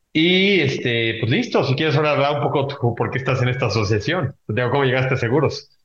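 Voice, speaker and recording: A man speaks at a fairly quick pace in a somewhat breathy, medium-pitched voice with ordinary pitch variation. His loudness stays very even, and there are hardly any pauses. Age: 20s. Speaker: podcast host, insurtech association president. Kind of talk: casual chat.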